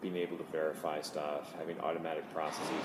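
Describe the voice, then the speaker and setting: Here a man with very deep, low pitch speaks at a moderate pace in a monotone, flat way. Noticeable background noise and audible room echo surround him. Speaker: engineering director at a tech company. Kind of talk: conference interview. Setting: conference venue. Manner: halting, with fillers.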